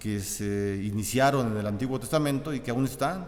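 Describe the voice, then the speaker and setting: A man speaks at a moderate pace with lively intonation, and audible room echo surrounds his voice. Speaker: pastor. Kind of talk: sermon. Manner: halting, repetitive.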